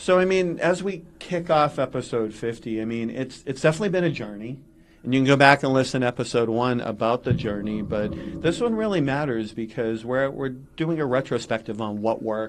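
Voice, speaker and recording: A man talks fairly quickly at medium pitch with ordinary pitch variation. Noticeable background noise runs underneath. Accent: Massachusetts. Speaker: podcast co-host. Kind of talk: casual chat.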